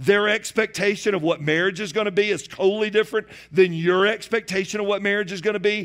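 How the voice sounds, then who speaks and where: In a Southern US accent, a man speaks with a high pitch. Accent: Southern American. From US South, Georgia near Atlanta. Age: 40s. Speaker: pastor. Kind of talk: sermon. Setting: church.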